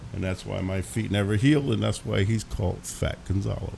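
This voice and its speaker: Ordinary pitch variation at a moderate pace. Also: man. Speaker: internet talk show host. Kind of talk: casual chat. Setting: studio. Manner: gets louder when excited.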